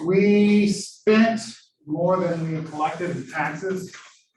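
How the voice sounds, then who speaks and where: With an American accent and ordinary pitch variation, the speaker is heard with audible room echo. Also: man. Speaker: economics lecturer. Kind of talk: lecture. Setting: classroom with Zoom attendees.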